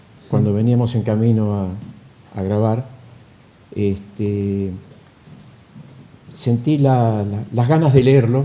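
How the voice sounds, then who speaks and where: With a Rioplatense accent, a man speaks at a very slow pace and medium pitch, with ordinary pitch variation and long, frequent pauses. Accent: Argentine Rioplatense Spanish. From Argentina. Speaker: stage actor and poetry reciter. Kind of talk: interview answer.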